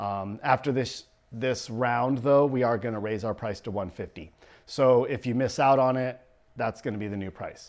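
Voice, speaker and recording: A man with a medium pitch keeps a moderate pace. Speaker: photographer. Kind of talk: promotional video talk. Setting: photo studio. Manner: animated, talks with hands.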